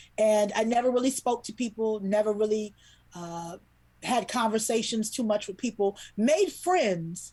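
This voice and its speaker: A woman with an American accent, a fairly high pitch, ordinary pitch variation, a somewhat breathy quality and a moderate pace. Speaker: children's book illustrator. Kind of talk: interview storytelling. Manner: animated.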